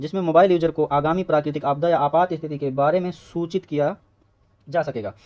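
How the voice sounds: A man's fairly quick, fairly high-pitched voice with a slightly mellow tone and fairly even intonation.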